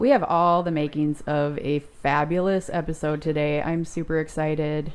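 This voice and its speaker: The voice runs monotone and flat at a fairly slow pace, with a Minnesotan accent. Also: woman. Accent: Minnesota. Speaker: podcast co-host. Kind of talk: casual chat. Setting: studio.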